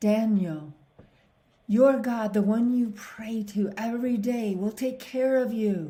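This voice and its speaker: A woman performs a put-on character voice at a fairly high pitch. She moves at a fairly slow pace with ordinary pitch variation. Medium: read story.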